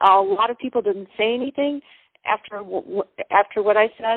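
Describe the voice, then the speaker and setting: Her pitch moves in an ordinary way as the woman talks. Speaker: caller, public health student. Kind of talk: call-in question at live town hall. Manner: fast.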